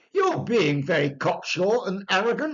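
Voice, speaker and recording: Delivered at a moderate pace, the voice is a put-on character voice. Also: man, high pitch for a man. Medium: read story. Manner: excitable, exclaiming.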